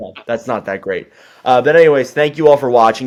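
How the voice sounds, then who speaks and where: A man speaks quietly. His intonation stays fairly even. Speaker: hockey podcast co-host. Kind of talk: casual podcast chat. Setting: on vacation, remote recording. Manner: quiet, subdued; usually loud, projecting.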